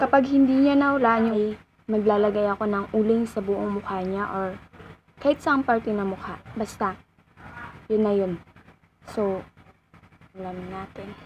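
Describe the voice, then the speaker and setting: Over light background noise, a woman with a fairly high pitch and ordinary pitch variation talks at a moderate pace, leaving long, frequent pauses. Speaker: vlogger. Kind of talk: casual vlog talk to camera. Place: home room. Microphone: phone near.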